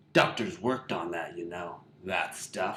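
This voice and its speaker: His pitch is very deep and low. The man is putting on a character voice. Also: moderate pace. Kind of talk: parody of clipped profane tough-guy dialogue. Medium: audio drama. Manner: blunt, profane, repetitive.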